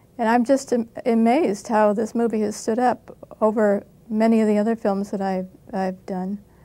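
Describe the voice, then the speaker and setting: A woman speaks with an American accent at a moderate pace. Her medium-pitched voice has a dark, mellow tone. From United States. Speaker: actress. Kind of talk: interview answer. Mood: modest, reflective. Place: studio. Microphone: lapel.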